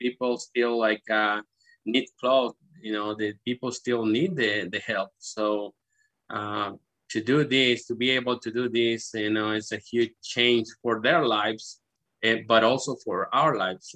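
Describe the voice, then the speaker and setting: In a Spanish accent, a man speaks at a fairly slow pace and medium pitch with fairly even intonation, his tone bright and sharp, the sound dry and close with no echo against a quiet background. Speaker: charity country coordinator. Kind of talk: interview.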